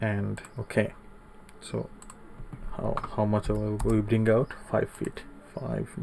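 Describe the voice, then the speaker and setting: Soft-spoken and at a very slow pace, a man talks with long, frequent pauses over noticeable background noise. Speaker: CAD tutorial instructor. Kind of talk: tutorial.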